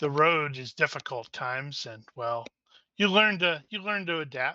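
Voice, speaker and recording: A man's put-on character voice, fairly high in pitch, with lively intonation, big swings in loudness, and a dry, close sound with no echo. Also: moderate pace. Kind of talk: archaic fantasy speech. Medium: actual play. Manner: calm, laconic.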